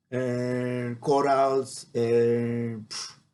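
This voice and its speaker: A man with a Spanish accent talks at a very slow pace in a monotone, flat intonation. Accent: Spanish (non-native English). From Mexico, Baja California Sur. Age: 40s. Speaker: marine biologist. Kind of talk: personal storytelling monologue. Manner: halting, many fillers.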